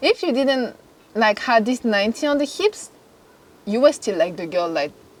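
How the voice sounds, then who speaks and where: With a French accent, a woman talks at a moderate pace and a fairly high pitch, her voice making very wide pitch swings between long, frequent pauses. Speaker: fashion model. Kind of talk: casual interview chat.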